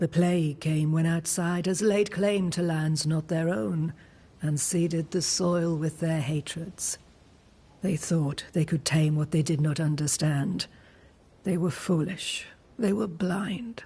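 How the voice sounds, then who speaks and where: Fairly slow delivery in a put-on character voice, pitched in the middle range. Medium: video game. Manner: cryptic, calm.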